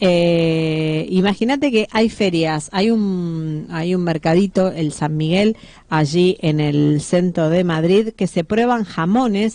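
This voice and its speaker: In a Rioplatense accent, a woman talks at a fairly slow pace, her fairly low voice dark and mellow in tone. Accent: Argentine Rioplatense Spanish. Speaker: radio host. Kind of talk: sponsored food segment on radio.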